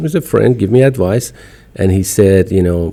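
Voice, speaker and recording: A man's fairly low, dark, mellow voice with lively intonation at a moderate pace. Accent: Persian. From Iran. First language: Farsi. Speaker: podcaster and business owner. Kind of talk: casual chat.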